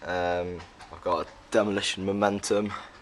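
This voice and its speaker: Noticeable background noise surrounds a man talking at a fairly low pitch. His pace is very slow. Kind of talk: casual bike check talk to camera. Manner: hesitant, many fillers.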